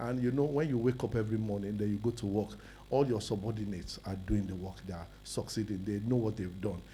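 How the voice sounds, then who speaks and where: A man talks at a very fast pace in a fairly low, dark, mellow voice with vocal fry and ordinary pitch variation. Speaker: businessman, summit speaker. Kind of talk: personal testimony talk.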